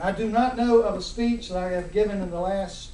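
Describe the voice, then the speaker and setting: Against noticeable background noise and audible room echo, a man with an American accent speaks at a moderate pace. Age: 60s. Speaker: judge. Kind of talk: formal speech. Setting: ceremony with audience. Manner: hard to understand at times.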